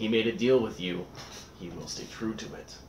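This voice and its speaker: A man growls in a put-on character voice at a medium pitch. He keeps a moderate pace over clear background noise. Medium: actual play. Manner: grave, formal.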